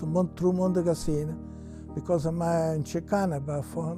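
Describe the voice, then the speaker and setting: Background music plays. Over it, a man speaks with an Italian accent. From Ceccano, Italy. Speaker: immigrant. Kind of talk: interview answer.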